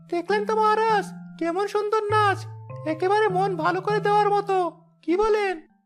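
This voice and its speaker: A cartoonish character voice moves along at a fairly quick pace. Faint music plays in the background. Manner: sly, giggling, flattering.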